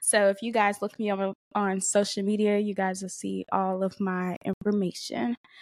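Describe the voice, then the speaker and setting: With hardly any pauses, a woman speaks at a moderate pace. Her pitch is medium, and the sound is dry and close with no echo. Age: 20s. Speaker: podcast host. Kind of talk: casual monologue. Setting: home recording with camera and mic. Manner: animated; laughing.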